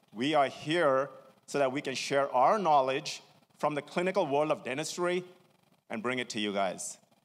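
This man's intonation is lively, and his pace stays moderate. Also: fairly high pitch for a man. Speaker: dentist and practice co-founder. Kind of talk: seminar presentation. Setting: stage with audience. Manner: animated.

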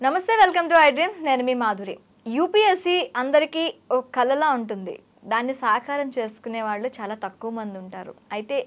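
Her voice high, the woman shows very wide pitch swings and big swings in loudness. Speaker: show anchor. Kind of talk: show introduction. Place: studio. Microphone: lapel.

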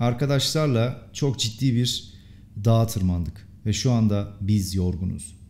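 Lively intonation marks a man's dark, mellow voice, with fairly low pitch and very even loudness. The room echo is audible. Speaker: English teacher. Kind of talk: language lesson tutorial.

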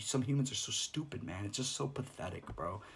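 Against light background noise, a man talks with vocal fry. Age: 30s. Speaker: ASMR streamer. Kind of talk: live stream monologue. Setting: live stream. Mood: frustrated, disappointed. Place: home room. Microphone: phone near.

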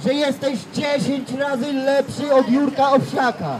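Amid noticeable background noise, a man with an extremely high pitch speaks at a very slow pace. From Poland, Elbląg; Poland. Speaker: street evangelist. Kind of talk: street preaching testimony. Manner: emphatic. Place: street. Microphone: handheld.

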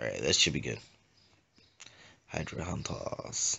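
A man is speaking. Vocal fry marks his voice. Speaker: gaming youtuber. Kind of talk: gameplay tutorial.

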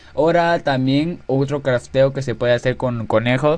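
The speaker is a man with a medium-pitched voice. He talks at a moderate pace with ordinary pitch variation. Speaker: gaming tutorial youtuber. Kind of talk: tutorial. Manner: hesitant, filler-heavy.

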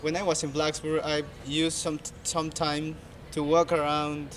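This man talks with a Spanish accent at a fairly high pitch. His pace is fairly slow. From Peru. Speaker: university student. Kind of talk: interview testimony. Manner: halting.

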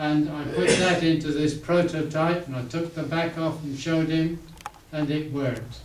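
Audible room echo and light background noise surround this recording. A man with a fairly high pitch speaks at a fairly slow pace. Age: 80s+. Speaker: inventor. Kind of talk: talk at a club meeting. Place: meeting room. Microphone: camera far.

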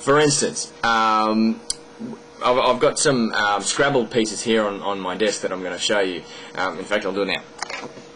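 The speaker talks with an Australian accent over light background noise. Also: man, ordinary pitch variation, moderate pace. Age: 20s. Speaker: video blogger. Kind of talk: monologue explaining an argument to camera. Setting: at home desk recording a video. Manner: hesitant, many fillers. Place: home room. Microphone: webcam.

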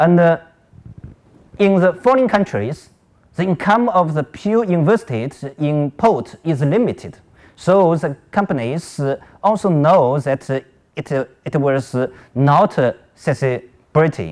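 Against a quiet background, a man with a Chinese accent speaks at a very slow pace with long, frequent pauses, a fairly high pitch and lively intonation. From China. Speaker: academic conference presenter; conference presenter. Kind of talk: conference presentation. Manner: halting, many fillers. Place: hall.

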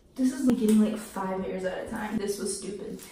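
Speech comes at a fairly quick pace with ordinary pitch variation. Room echo can be heard. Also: woman. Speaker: vlogger. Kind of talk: casual vlog chat. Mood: nervous, anxious, laughing. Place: bathroom. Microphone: camera far.

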